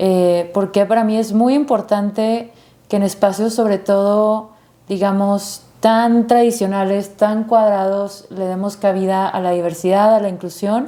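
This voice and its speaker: In a slight Monterrey accent, a woman speaks fairly slowly at a medium pitch, her tone dark and mellow and her intonation flat and monotone. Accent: slight Monterrey (regio). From Monterrey, Mexico (San Pedro). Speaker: activist and producer. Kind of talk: interview.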